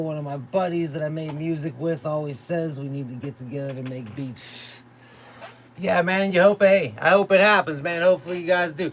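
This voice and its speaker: Fairly high pitch from a man at a moderate pace, noticeable background noise behind him. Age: 30s. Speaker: beatmaker streamer. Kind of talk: live stream casual chat. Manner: casual, laid-back.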